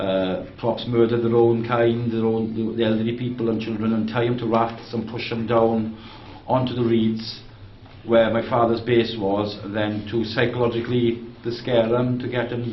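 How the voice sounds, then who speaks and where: Noticeable background noise accompanies a man speaking at a medium pitch and moderate pace with monotone, flat intonation. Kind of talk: interviewer talk.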